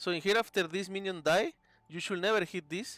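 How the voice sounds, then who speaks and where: With a Spanish accent, a man talks at a fairly quick pace. The recording is very clean, with a silent background. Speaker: video game coach. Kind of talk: coaching session, game replay review. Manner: casual, frequent 'okay' and fillers.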